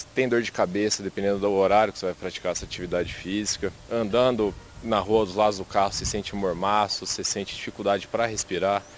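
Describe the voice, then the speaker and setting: Barely pausing, a man rattles along at a very fast pace with a fairly low pitch and monotone, flat intonation. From Brazil, interior of São Paulo state. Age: 20s. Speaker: interviewee. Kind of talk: vox pop interview.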